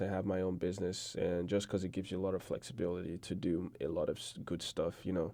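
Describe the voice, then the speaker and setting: A man with a Nigerian accent speaks at a fairly quick pace in a very deep, low voice with a dark, mellow tone. His intonation is monotone and flat, on a very clean recording with a silent background. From Nigeria, Igbo region. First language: Igbo. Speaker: podcast guest, student. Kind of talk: casual interview chat.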